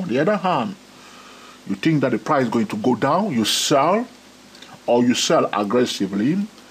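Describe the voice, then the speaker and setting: A man with very wide pitch swings and long, frequent pauses, against noticeable background noise. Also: medium pitch for a man. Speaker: trading educator. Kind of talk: tutorial. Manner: slow; frequent fillers.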